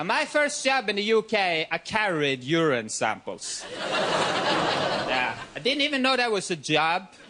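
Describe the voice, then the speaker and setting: Over noticeable background noise, a man with a non-native accent talks at a fairly slow pace with hardly any pauses. His pitch is high and swings very widely. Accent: foreign. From Norway. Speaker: comedian. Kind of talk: stand-up.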